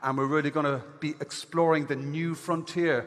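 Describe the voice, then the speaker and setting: With an Irish accent, a man speaks at a fairly quick pace. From Ireland. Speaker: event host. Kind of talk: conference hosting on stage. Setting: stage with audience. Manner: animated.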